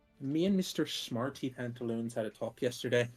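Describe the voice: Lively intonation throughout plain reading aloud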